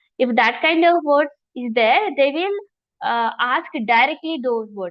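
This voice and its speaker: A woman with an Indian accent, a high pitch, and a moderate pace. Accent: Indian English, Telugu. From India, Telugu-speaking region. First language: Telugu. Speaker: yoga philosophy teacher. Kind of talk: online lecture.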